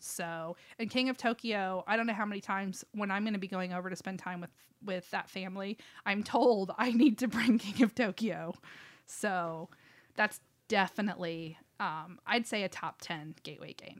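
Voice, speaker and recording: A woman talks at a moderate pace in an ordinary speaking voice, medium in pitch. Her loudness swings widely, and the recording is very clean with a silent background. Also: ordinary pitch variation. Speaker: board game podcast host. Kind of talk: casual chat.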